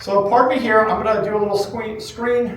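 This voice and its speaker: A man talks loudly in an animated tone, his pitch high. Noticeable background noise sits behind him. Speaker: running store owner presenting at a trade event. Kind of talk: conference presentation. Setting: stage with live audience, using a microphone.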